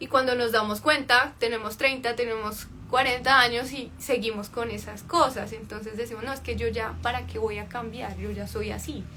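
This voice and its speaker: A woman at a moderate pace with hardly any pauses and big swings in loudness, amid noticeable background noise and audible room echo. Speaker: life coach. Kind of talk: livestream talk.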